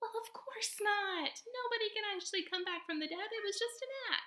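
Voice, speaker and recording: In a put-on character voice, a woman squeaks at an extremely high pitch with a dramatic tone, keeping a moderate pace. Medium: read story. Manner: dramatic, chatty.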